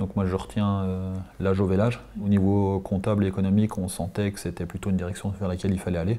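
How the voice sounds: A man talks fast with a low pitch, a dark, mellow tone and little pitch movement.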